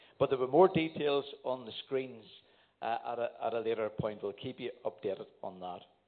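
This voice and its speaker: With a Northern Irish accent, a man speaks at medium pitch and a moderate pace, using ordinary pitch variation. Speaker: church elder giving announcements. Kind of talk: church announcements. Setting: church.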